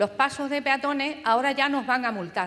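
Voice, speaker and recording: A woman speaks in a high register. The pitch rises and falls in an ordinary way. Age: 70s. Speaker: audience member. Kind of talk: audience question.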